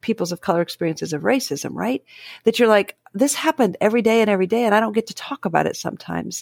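A woman's very fast, lively speech with an American accent, medium pitch and vocal fry, in a dry, close sound with no echo. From Dayton, Ohio, US. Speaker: professor and author in psychology. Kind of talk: casual interview conversation.

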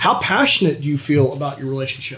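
This man speaks at a fairly high pitch. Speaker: podcast host, performance coach; radio show guest. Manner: loud.

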